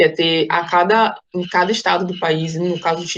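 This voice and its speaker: Her pitch variation ordinary, a woman talks in a normal speaking voice. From Salvador, Bahia, Brazil. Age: 20s. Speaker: student leader of a youth business network. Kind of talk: casual interview.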